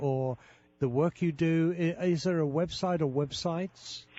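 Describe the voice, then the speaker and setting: A man speaks with a British accent. His pitch is high, with ordinary variation. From Britain. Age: 70s. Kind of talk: interview.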